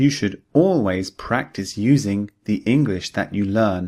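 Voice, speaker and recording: With a British accent, a man speaks fairly low and fairly slowly with ordinary pitch variation, on a very clean recording with a silent background. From United Kingdom. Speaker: English teacher. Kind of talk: language lesson drill sentences. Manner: slow, clear.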